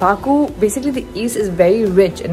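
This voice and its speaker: Over clear background music, a woman speaks at a fairly quick pace with ordinary pitch variation. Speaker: travel vlog host. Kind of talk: casual vlog chat. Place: hall. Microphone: phone near.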